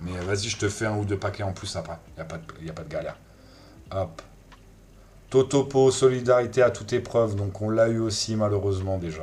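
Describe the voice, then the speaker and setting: A man with a fairly low voice talks at a fairly quick pace, using ordinary pitch variation. He leaves long, frequent pauses. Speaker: streamer opening trading card packs. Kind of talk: live stream card opening chat. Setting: live stream with music in background. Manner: loud; hesitant, many fillers.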